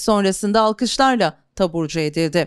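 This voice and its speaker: In a very clean recording with a silent background and a dry, close sound with no echo, a woman uses an unremarkable speaking voice at medium pitch and a moderate pace. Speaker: news narrator. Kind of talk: local TV news narration.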